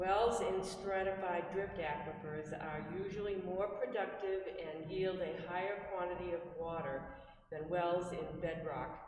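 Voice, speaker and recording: At a fairly slow pace, a woman with a fairly low pitch and fairly even intonation speaks amid noticeable background noise and audible room echo. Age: 70s. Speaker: resident giving public comment. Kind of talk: public comment at town meeting. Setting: town hall meeting.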